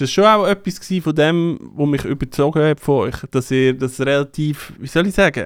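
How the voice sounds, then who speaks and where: A man with a normal speaking voice and a fairly high pitch talks at a moderate pace with ordinary pitch variation. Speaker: DJ and podcast co-host. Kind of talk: casual chat. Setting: studio.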